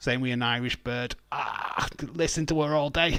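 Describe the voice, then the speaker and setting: A man speaks at a fairly slow pace in a strong Yorkshire accent. His pitch sits in the middle of the male range, with ordinary variation. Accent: thick Yorkshire. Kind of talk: casual, slangy.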